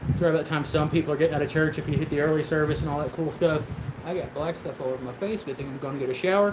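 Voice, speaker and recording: Very fast speech from a man, fairly high-pitched for a man, with noticeable background noise. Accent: American. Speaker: woodturning livestreamer. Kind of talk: casual livestream chat while woodturning. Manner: loud, yelling.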